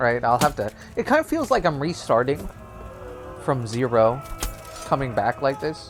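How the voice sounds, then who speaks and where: Music plays in the background. A man is speaking. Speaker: gaming YouTuber. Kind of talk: gameplay commentary. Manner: casual, filler-heavy; halting, stuttering.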